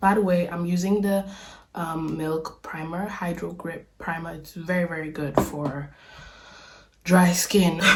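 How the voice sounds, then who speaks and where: Putting on a character voice, a woman sounds raspy at a fairly low pitch, moving at a fairly slow pace with monotone, flat intonation. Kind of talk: casual, tutorial chat. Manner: conversational, product-recommending.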